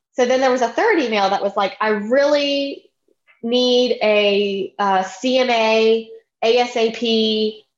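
A woman's fairly high voice with a Louisiana accent, very even loudness and fairly even intonation. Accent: Southern US (Louisiana). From US South, Baton Rouge, Louisiana. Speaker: real estate agent, podcast co-host. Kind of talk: casual chat.

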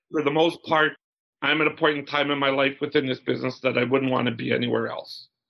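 A man with a Canadian prairie accent, fairly high in pitch, monotone and flat in intonation, at a very fast pace. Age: 60s. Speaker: business owner, glove manufacturer. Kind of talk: interview.

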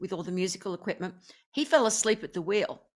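This woman has an Australian accent and a medium pitch with ordinary pitch variation. The recording is very clean, with a silent background. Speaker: singer and affirmation coach. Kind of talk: casual chat.

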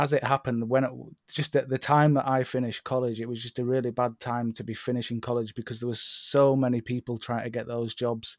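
Speaking at a fairly quick pace, a man with a medium pitch keeps a monotone, flat intonation, and the sound is dry and close with no echo. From northern England, Northumberland, moved around UK as child. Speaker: landscape photographer. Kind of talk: casual chat. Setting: remote call.

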